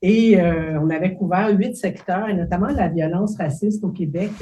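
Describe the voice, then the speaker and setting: A woman speaks at a moderate pace in a somewhat breathy, dark, mellow tone of medium pitch, with ordinary pitch variation. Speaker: professor. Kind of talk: lecture. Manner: hesitant, many fillers.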